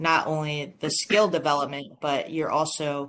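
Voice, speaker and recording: This woman has a very deep, low voice. The background is quiet. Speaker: golf coach, show host. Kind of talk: podcast interview host.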